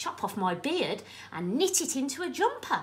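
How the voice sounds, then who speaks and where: A woman puts on a croaky character voice, high in pitch with very wide pitch swings. She keeps a moderate pace over light background noise. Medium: read story.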